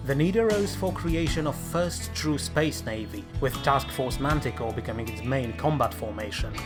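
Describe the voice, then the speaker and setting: A man speaks at a moderate pace with very wide pitch swings. Music plays in the background. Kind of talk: in-universe lore narration.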